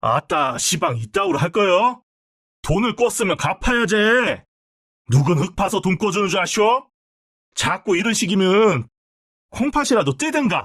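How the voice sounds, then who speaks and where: A man uses a put-on character voice, high-pitched and menacing in tone. He speaks at a moderate pace with long, frequent pauses. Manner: menacing, threatening.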